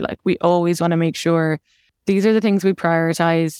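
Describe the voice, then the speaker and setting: A woman with an Irish accent comes across dry and close with no echo, on a very clean recording with a silent background. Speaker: tech operations manager. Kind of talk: interview.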